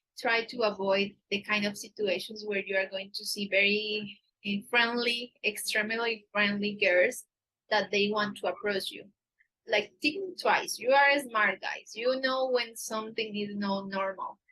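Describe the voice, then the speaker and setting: Fairly high and bright with a sharp tone, a woman's voice moves with fairly even intonation. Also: fairly slow pace. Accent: Antioquian. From Colombia, Medellin area. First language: Spanish. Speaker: dating agency staff, livestream host. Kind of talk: live stream Q&A. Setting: livestream on camera. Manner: hesitant, with filler words.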